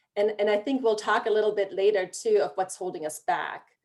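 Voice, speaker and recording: Speaking with a German accent, a woman uses a fairly high pitch and lively intonation on a very clean recording with a silent background. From Germany. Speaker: regional planning director. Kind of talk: panel discussion.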